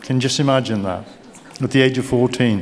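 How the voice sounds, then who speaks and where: Over noticeable background noise, a man speaks with a Birmingham accent. His medium pitch holds fairly even intonation at a moderate pace. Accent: Brummie. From Birmingham, England. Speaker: keynote speaker, business mentor. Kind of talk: keynote speech. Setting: stage with audience.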